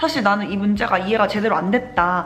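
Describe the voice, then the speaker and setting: Noticeable background noise runs under the voice. The pace is very fast. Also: woman. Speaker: nursing graduate vlogger. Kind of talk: casual vlog storytelling. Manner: animated, voice rising when excited.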